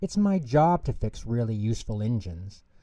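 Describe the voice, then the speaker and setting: A man's put-on character voice at medium pitch, delivered at a moderate pace. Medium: read story.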